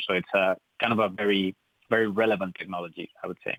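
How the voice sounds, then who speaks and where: A man with a Spanish accent talks at a very fast pace in a flat monotone. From Spain. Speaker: tech company co-founder. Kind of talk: radio interview. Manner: hesitant, many fillers.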